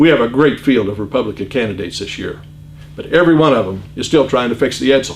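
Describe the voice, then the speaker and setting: Talking very fast in a Midwestern American accent, a man has a medium pitch, lively intonation and vocal fry. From US Midwest, Iowa. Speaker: political candidate. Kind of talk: campaign speech.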